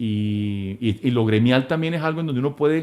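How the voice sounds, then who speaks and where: Speaking at a moderate pace and medium pitch, a man uses lively intonation. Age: 60s. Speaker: business leader and philanthropist. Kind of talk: interview conversation. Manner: hesitant, many fillers and repetitions.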